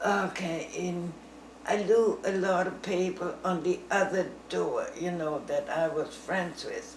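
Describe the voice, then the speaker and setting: Noticeable background noise sits under a woman talking at a very slow pace. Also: medium pitch for a woman, fairly even intonation. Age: 80s+. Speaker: grandmother telling war memories. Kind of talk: casual storytelling to family, interview answer. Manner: conversational, rambling, halting, with fillers.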